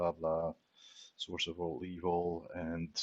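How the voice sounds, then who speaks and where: A man with a non-native accent speaks at a very deep, low pitch, the sound dry and close with no echo. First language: not English. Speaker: software developer streamer. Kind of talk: live coding tutorial. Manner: casual, thinking aloud.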